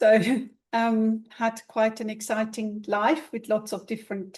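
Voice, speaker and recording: The voice is somewhat breathy and moves at a very slow pace over a quiet background. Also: woman. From Switzerland. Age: 70s. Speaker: ballet teacher and pointe shoe fitter. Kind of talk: interview.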